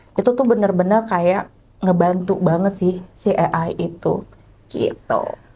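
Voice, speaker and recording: At a fairly slow pace, a woman speaks somewhat breathily at medium pitch, with fairly even intonation and very even loudness. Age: young. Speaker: HR professional. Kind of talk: casual interview.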